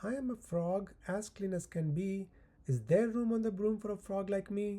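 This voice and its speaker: A put-on character voice, croaky and middle-pitched. It moves at a moderate pace. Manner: polite.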